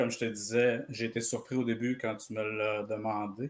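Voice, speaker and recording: Speaking very slowly, a man with a Quebec accent uses a medium pitch. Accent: Québécois. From Quebec, Trois-Rivières (Mauricie). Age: 40s. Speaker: comics reader. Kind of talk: casual interview.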